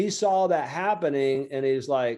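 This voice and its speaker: Speaking in a Southern US accent, a man with a fairly high pitch and a dark, mellow tone keeps a moderate pace and ordinary pitch variation. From Lower Alabama, USA. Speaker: small business coach and author. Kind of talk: interview answer. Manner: casual, conversational.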